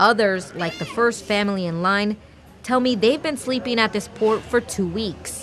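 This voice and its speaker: Over noticeable background noise, a woman talks at a moderate pace with a medium pitch and lively intonation. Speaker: TV news reporter. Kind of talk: TV news reporter stand-up and voiceover.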